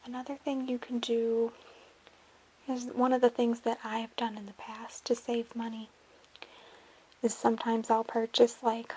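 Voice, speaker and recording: A soft-spoken delivery at a moderate pace, with long, frequent pauses and noticeable background noise. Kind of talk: ASMR soft-spoken talk to camera.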